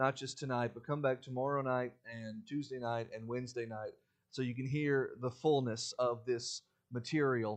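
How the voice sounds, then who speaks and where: Fairly quick speech from a man at a medium pitch. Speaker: guest preacher. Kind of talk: sermon. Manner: fast when excited; animated.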